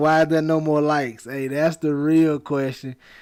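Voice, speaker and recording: This man's pitch sits fairly high. He keeps a moderate pace. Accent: Alabama. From Alabama. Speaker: fantasy sports streamer. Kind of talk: live stream Q&A. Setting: live stream. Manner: casual.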